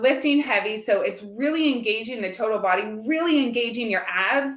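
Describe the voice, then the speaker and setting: With an animated tone and lively intonation, a woman speaks in a bright, sharp, fairly high voice. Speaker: fitness coach. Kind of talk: live video Q&A. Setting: live stream.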